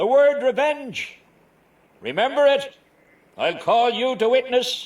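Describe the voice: A man does a put-on character voice at an extremely high pitch, slow in pace, with lively intonation and a slightly mellow tone.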